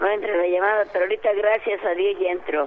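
Using a plain, everyday voice, a woman with a fairly high pitch speaks at a moderate pace. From Altamirano, Guerrero, Mexico. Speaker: caller giving testimony. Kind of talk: phone testimony. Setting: phone call.

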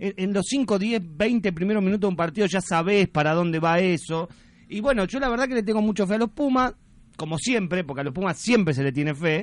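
Against a quiet background, a man with a high pitch speaks at a fairly quick pace with lively intonation. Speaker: radio host. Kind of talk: casual chat.

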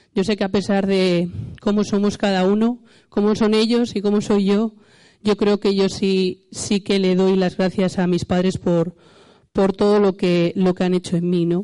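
A dark, mellow, monotone voice with flat intonation, very even loudness and a fairly slow pace against a quiet background. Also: woman, medium pitch for a woman. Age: 40s. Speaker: church speaker. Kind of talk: sermon. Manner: halting.

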